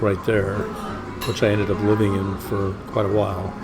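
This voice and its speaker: A man with an American accent speaks at a moderate pace in a fairly low pitch. Noticeable background noise and audible room echo come through. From Los Angeles, California. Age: 60s. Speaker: musician. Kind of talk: interview. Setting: noisy cafe. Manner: hesitant, many fillers.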